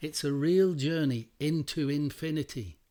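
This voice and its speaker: In a very clean recording with a silent background, a man with an English accent speaks in a dark, mellow tone. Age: 60s. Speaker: meditation teacher. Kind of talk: meditation talk. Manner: repetitive, emphatic.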